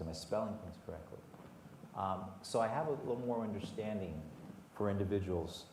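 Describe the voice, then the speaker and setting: Audible room echo and noticeable background noise surround a man with a fairly low pitch. He talks at a fairly quick pace with ordinary pitch variation. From Southern California, Whittier, Mexican-American family. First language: Spanish. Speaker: HR executive at sports team. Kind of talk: panel interview. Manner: hesitant, many repetitions and fillers.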